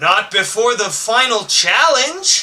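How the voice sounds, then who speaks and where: A fairly slow, put-on character voice from a man, extremely high in pitch. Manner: menacing.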